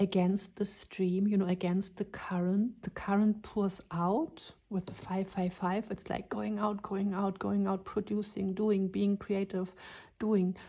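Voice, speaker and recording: This voice has a dark, mellow tone and flat, monotone intonation. It moves at a very slow pace. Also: woman. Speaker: tarot reader. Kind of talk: tarot reading.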